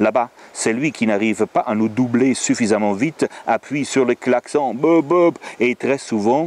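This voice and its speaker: A man with lively intonation. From Germany. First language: German (speaking French). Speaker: storyteller and author. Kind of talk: reading aloud. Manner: animated.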